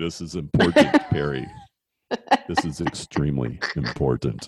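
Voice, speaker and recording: A booming, very deep and low put-on character voice moves at a moderate pace. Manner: booming, grand, authoritative.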